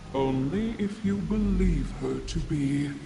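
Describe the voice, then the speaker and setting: A man's put-on character voice at a fairly slow pace over loud background noise. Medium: video game. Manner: mysterious, knowing.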